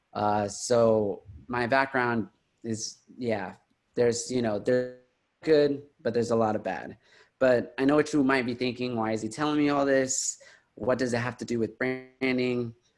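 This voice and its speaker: A man with an American accent and a normal speaking voice talks at a moderate pace and medium pitch. His intonation is fairly even, over a quiet background. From Houston, Texas. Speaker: digital marketer and brand consultant. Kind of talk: presentation.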